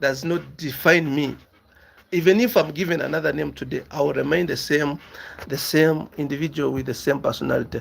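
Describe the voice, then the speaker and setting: Vocal fry runs through a man's voice, which has ordinary pitch variation. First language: a local African language. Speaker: business YouTuber. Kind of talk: casual monologue answering viewer questions. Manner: halting, repeats words.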